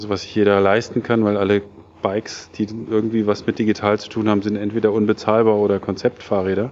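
Against noticeable background noise, a man with a fairly low pitch talks at a fairly quick pace in a flat monotone. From Germany, Taunus (Hesse). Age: 40s. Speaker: serial entrepreneur, startup founder. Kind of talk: interview at a meetup event. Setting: tech meetup event. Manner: many filler sounds (äh, ähm).

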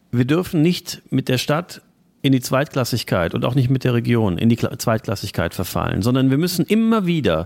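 This man's voice sits at a medium pitch and moves at a moderate pace. His pitch swings very widely. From Germany, Trier. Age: 40s. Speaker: local party chairman. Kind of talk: political interview.

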